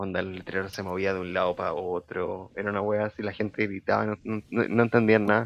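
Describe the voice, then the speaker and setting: In a Chilean accent, a man talks at a fairly quick pace with a fairly low pitch, flat monotone intonation and hardly any pauses. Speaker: podcast co-host. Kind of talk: casual chat. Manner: speaking quietly.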